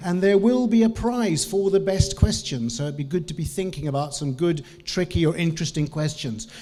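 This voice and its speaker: A man's lively intonation at a moderate pace over noticeable background noise. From New Zealand. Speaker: business trainer and lecturer. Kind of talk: conference talk. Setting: stage with audience.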